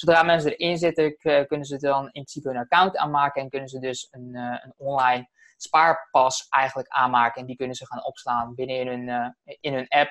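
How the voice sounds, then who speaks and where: A man talks at a fairly quick pace with hardly any pauses, using a fairly high pitch and fairly even intonation, in a dry, close sound with no echo. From Netherlands, Alphen aan den Rijn. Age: 20s. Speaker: messenger marketing entrepreneur. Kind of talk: interview. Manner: fast.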